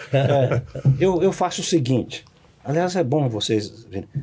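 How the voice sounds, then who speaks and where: With lively intonation and a moderate pace, a man talks as noticeable noise runs in the background. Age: 70s. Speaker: law professor. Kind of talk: podcast interview.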